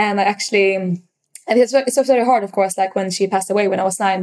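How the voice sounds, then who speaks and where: On a very clean recording with a silent background, a woman speaks with a Swedish accent. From Sweden, Stockholm. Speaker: startup founder. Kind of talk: casual interview. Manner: hesitant, halting with fillers.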